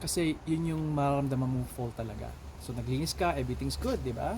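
A man's voice is heard with audible room echo and noticeable background noise around it. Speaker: vlogger and yard-work contractor. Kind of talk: casual vlog narration. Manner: halting, many fillers.

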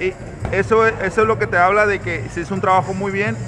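A man talks at a high pitch and a fairly quick pace. Clear music plays in the background. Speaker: boxing coach. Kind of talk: interview answer. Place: gym. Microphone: phone near.

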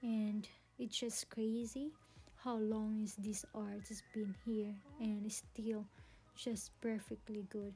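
A woman with a dark, mellow tone and medium pitch talks slowly, with little pitch movement and long, frequent pauses.

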